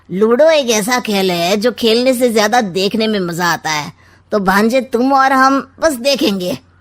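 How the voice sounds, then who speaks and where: This woman uses a cartoonish character voice, fairly high in pitch, with lively intonation at a moderate pace. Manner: sly, smooth, sarcastic.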